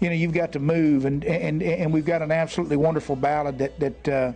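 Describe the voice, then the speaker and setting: Noticeable background noise sits behind a man with a fairly high pitch and fairly even intonation. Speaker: country singer. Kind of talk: interview answer.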